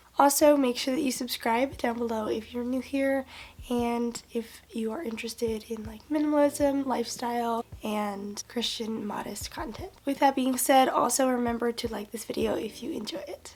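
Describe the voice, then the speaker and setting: Over noticeable background noise, a woman with a high pitch speaks at a moderate pace with ordinary pitch variation and hardly any pauses. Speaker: lifestyle vlogger. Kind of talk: casual chat.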